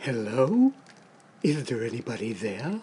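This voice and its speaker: A cartoonish character voice speaks at a fairly slow pace. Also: man, medium pitch for a man. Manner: mumbling.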